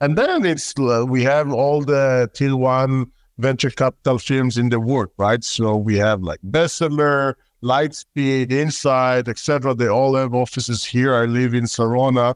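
Speaking at a fairly slow pace with hardly any pauses, a man with an Israeli accent holds a medium pitch, fairly even intonation and very even loudness, in a dry, close sound with no echo and a quiet background. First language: Hebrew. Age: 30s. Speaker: tech company founder and CEO. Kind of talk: interview.

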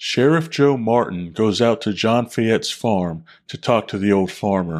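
A man with a normal speaking voice and lively intonation at a fairly slow pace, on a very clean recording with a silent background. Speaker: podcast co-host and writer. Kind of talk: podcast intro and outro announcements.

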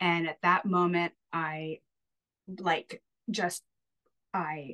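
The woman's voice sits at a fairly low pitch. The sound is dry and close, with no echo. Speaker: homeschooling mother. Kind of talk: casual chat. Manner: halting.

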